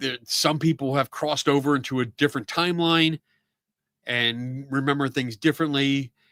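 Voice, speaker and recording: The voice has a bright, sharp tone and ordinary pitch variation, recorded with a dry, close sound and no echo. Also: man. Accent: Philadelphia. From Philadelphia area, US. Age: 50s. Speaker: live-stream talk show host. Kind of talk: casual live-stream chat answering viewer comments. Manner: casual, filler-heavy.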